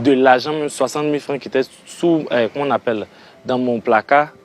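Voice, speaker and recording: A man talks with music playing in the background. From Côte d'Ivoire, Toumodi. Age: 20s. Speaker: resident who lost his home. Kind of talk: testimony.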